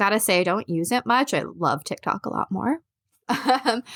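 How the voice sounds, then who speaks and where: A woman talks at a moderate pace with ordinary pitch variation, in a plain, everyday voice. The sound is dry and close, with no echo. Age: 40s. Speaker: author and mental health advocate. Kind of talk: casual interview.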